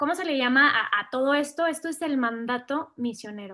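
In a raised, projected voice with a bright, sharp tone, the speaker talks fairly slowly with lively intonation over a quiet background. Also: woman. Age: 20s. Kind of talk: testimony.

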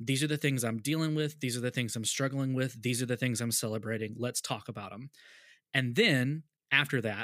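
With an American accent and an unremarkable speaking voice, a man talks at a fairly quick pace in a medium pitch with ordinary pitch variation, on a very clean recording with a silent background. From US South. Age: 30s. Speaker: podcast host, youth pastor. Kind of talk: casual interview chat.

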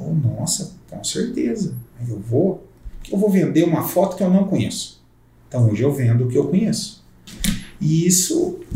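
There is audible room echo around a man with a high voice. He talks at a moderate pace with very wide pitch swings and long, frequent pauses. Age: 40s. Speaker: real estate broker. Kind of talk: casual chat. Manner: halting.

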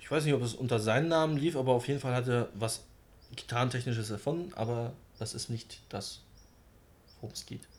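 Somewhat breathy, a man speaks at a fairly quick pace broken by long, frequent pauses. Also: medium pitch for a man, ordinary pitch variation. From Germany, Wolfsburg. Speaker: metal podcast host. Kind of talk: casual chat.

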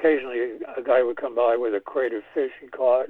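A man speaks with an American accent at a medium pitch. His intonation is monotone and flat. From New York City. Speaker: composer. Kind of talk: interview.

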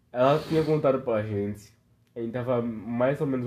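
The tone here is dark and mellow. It belongs to a man. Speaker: podcast host. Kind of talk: casual chat. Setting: lying on living room floor at home. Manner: drunken, slurred.

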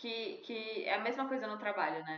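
With a normal speaking voice, a woman talks at a moderate pace. Her pitch is fairly high and her intonation lively. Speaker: podcast host. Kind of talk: casual chat.

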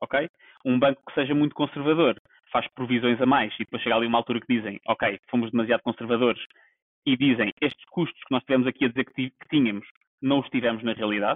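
A man talks very fast, his medium-pitched voice holding a fairly even intonation. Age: 30s. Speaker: podcast co-host. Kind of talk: casual chat. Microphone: poor sound quality.

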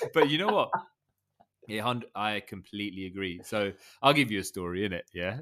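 Speaking at a fairly quick pace with long, frequent pauses, a man with a fairly low pitch, ordinary pitch variation and a bright, sharp tone comes through on a very clean recording with a silent background. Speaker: podcast co-host. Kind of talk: casual chat. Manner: animated, chatty.

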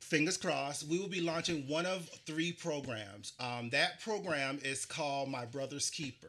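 With hardly any pauses, a man talks at a moderate pace and fairly high pitch, his tone bright and sharp and his pitch variation ordinary. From US South, Charleston, South Carolina. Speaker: podcast host. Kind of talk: casual interview chat.

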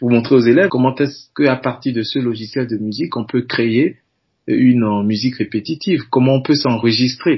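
Somewhat breathy man's voice, medium in pitch, with ordinary pitch variation. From Benin. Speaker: music teacher. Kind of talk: interview.

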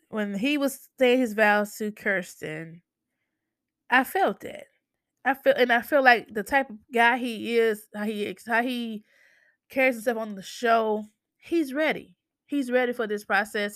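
Here is a woman with an American accent and a normal speaking voice. She speaks at a fairly slow pace in a fairly high pitch with ordinary pitch variation. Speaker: podcast host. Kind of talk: casual chat.

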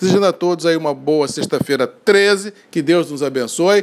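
Over noticeable background noise, a man talks at a high pitch and a fairly quick pace. His tone is animated, with ordinary pitch variation. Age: 50s. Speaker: coffee market commentator. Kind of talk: daily market and weather bulletin.

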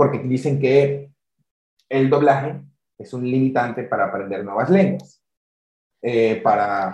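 Somewhat breathy and at a medium pitch, a man speaks at a fairly slow pace with long, frequent pauses. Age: 20s. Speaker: podcast host. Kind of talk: casual interview.

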